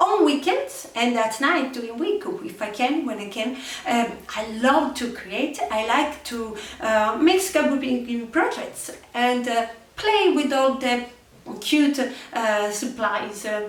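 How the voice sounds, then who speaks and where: A woman with an Italian accent talks at a very slow pace in a high voice with lively intonation. Audible room echo and noticeable background noise fill the recording. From Italy. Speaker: crafting youtuber. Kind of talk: casual chat to camera. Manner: halting, many fillers.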